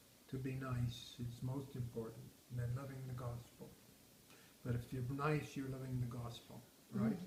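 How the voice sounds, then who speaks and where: Audible room echo surrounds a man of medium pitch who speaks at a moderate pace, monotone and flat, somewhat breathy, with long, frequent pauses. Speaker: retired grandfather interviewed by family. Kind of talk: casual family interview.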